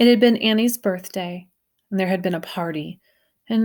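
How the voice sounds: Over a quiet background, the speaker has a natural reading voice. Pitch varies in an ordinary way.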